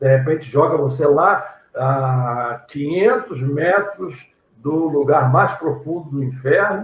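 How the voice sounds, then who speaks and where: Fairly high-pitched, somewhat breathy man's voice at a very slow pace with ordinary pitch variation. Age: 60s. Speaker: pastor and theology teacher. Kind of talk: casual chat.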